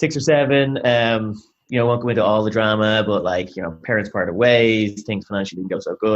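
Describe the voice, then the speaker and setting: A man with a Dublin accent speaks at a fairly low pitch. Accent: Irish (Dublin). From Ireland, Dublin. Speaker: sales executive. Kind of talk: interview. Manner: energetic.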